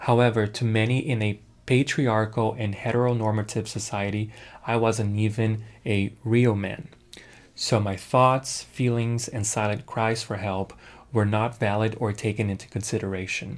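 A man's medium-pitched, flat monotone voice on a very clean recording with a silent background. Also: moderate pace. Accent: American. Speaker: podcast host. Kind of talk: scripted narration.

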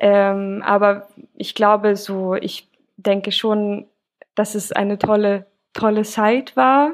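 A woman speaks very slowly at a medium pitch, her intonation fairly even and broken by long, frequent pauses. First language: Swedish (speaking German). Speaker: musician and bassist. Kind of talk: podcast interview.

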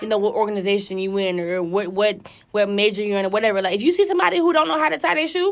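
Over noticeable background noise, a woman speaks at a very fast pace in a medium pitch. Her tone is animated and her intonation lively. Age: 20s. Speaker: college student. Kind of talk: casual chat.

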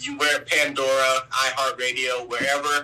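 A man's medium-pitched, monotone, flat voice over music in the background. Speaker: R&B singer. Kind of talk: interview.

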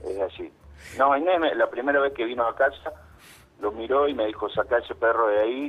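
A man speaks in an ordinary speaking voice at medium pitch with ordinary pitch variation. His pace is fairly quick. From Argentina, Santa Fe province. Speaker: actor and writer calling a radio show. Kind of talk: phone-in conversation, staged story.

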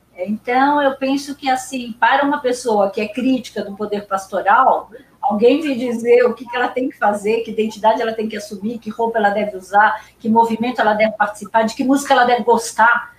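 Over noticeable background noise, a woman talks at a fairly quick pace with hardly any pauses, fairly even intonation and big swings in loudness. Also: fairly high pitch for a woman. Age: 70s. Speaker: professor and researcher. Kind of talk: interview conversation about philosophy.

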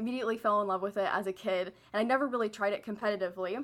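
A woman of medium pitch talks with a Midwestern American accent. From Missouri, St. Louis. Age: 20s. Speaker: university student. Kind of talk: casual chat.

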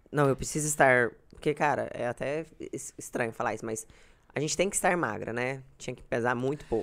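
With ordinary pitch variation, this woman talks at a moderate speed. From Goiás, Brazil (Uruaçu). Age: 20s. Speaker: blogger. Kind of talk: casual chat. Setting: live video stream.

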